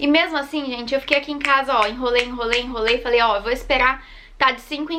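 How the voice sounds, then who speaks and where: The speaker uses a raised, projected voice at a very fast pace, with fairly even intonation. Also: woman. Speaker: vlogger, mother. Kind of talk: personal birth story vlog.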